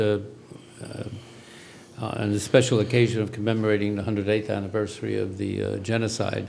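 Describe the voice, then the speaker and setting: Here a man talks at a fairly quick pace. His pitch is fairly low, and the room echo is audible. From US Northeast, New York. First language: Armenian. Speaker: retired diplomat. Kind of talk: interview. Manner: halting, many fillers.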